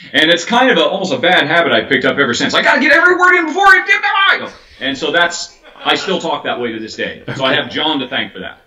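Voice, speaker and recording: A man speaks at a very fast pace with hardly any pauses, his loudness swinging widely. Noticeable background noise runs underneath. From United States. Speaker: board game video reviewer. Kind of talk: interview. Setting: video call.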